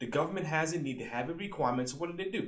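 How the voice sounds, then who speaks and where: The man's tone is energetic. Audible room echo surrounds his voice. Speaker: government contracting coach, YouTuber. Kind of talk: tutorial. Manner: fast; casual, energetic.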